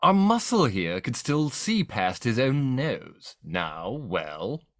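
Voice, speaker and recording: A man puts on a character voice of medium pitch, making very wide pitch swings. He speaks at a very slow pace. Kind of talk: comic melodramatic reading. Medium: read story.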